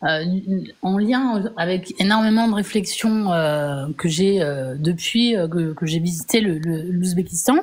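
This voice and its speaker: A woman with a fairly low pitch talks at a very slow pace, her pitch varying in an ordinary way. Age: 40s. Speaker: viewer asking a question. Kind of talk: casual chat. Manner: halting.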